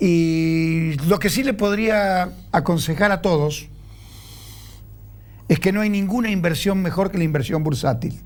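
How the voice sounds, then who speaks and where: At a fairly slow pace, a man speaks in a high pitch with ordinary pitch variation and long, frequent pauses. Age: 70s. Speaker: stock exchange president. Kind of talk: TV interview.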